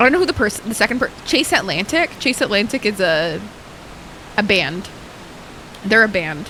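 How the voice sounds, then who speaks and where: A woman with medium pitch talks in an animated tone, her pitch swinging very widely while her loudness stays very even. She leaves long, frequent pauses, and noticeable background noise can be heard. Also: moderate pace. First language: Arabic. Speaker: live streamer. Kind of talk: casual gaming stream chat.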